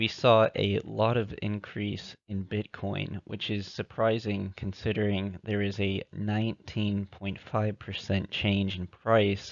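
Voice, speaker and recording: Very slowly, a man speaks in a fairly low pitch with monotone, flat intonation. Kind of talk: amateur crypto theory narration over slides.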